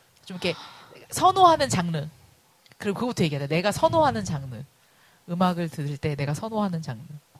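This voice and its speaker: A woman speaks at a very fast pace in an animated tone, with very wide pitch swings. There is noticeable background noise. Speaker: podcast host. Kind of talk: casual chat.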